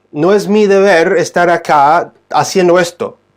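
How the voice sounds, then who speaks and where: This man speaks with an English accent and a high pitch. The background is quiet. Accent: non-native Spanish, English-speaking. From United States. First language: English (speaking Spanish). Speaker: Bible teacher. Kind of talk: livestream Bible teaching. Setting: live stream. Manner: halting, many fillers and restarts.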